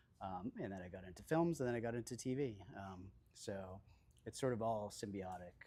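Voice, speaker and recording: Soft-spoken and fairly quick, a man talks with a dark, mellow tone, a fairly low pitch and ordinary pitch variation. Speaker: cinematographer. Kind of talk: onstage interview. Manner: halting, many fillers.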